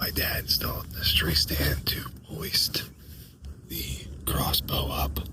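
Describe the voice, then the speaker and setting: A man whispers with long, frequent pauses. There is noticeable background noise. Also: fairly slow pace. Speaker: comedian, podcast host. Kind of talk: casual talk to camera while hunting. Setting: outdoors, in the woods.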